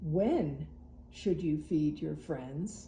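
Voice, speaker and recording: A woman puts on a character voice with a very deep, low pitch, and background noise is clearly heard. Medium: read story. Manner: brief, questioning, amused.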